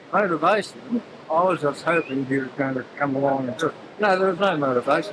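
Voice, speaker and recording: With ordinary pitch variation and a fairly quick pace, a man's voice comes through over noticeable background noise. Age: 80s+. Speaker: surf lifesaving competitor. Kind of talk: casual post-race interview.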